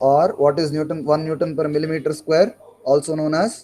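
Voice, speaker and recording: A man with an Indian accent talks at a fairly slow pace in a fairly high voice. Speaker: engineering lecturer. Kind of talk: online class lecture. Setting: online class.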